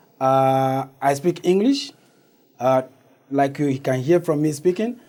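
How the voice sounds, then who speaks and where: The dark, mellow voice moves at a fairly slow pace with ordinary pitch variation. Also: man. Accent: West African. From Togo, raised partly in Ghana. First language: Ewe. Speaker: community organization founder. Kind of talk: interview. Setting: studio.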